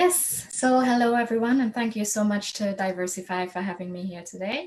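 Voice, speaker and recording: At a moderate pace, a somewhat breathy woman speaks in a medium pitch with ordinary pitch variation. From Trinidad and Tobago. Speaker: program manager. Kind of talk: panel discussion.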